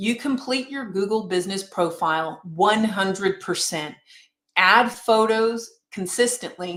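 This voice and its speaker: Here a woman has an unremarkable speaking voice at medium pitch. She talks at a fairly slow pace with ordinary pitch variation. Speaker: realtor and marketing instructor. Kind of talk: webinar presentation.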